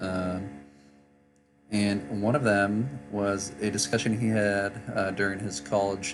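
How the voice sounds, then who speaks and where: Music plays in the background as a man speaks very slowly. His pitch is fairly low, with ordinary variation. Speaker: political commentary YouTuber. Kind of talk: casual reaction commentary to camera. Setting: travel setup, poor microphone.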